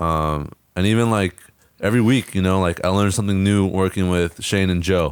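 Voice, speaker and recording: The speaker has an American accent and a fairly quick pace, with fairly even intonation and very even loudness. The recording is very clean, with a silent background. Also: man, very deep, low pitch for a man. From Northern California coast (Fort Bragg). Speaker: soccer coach. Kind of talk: casual chat.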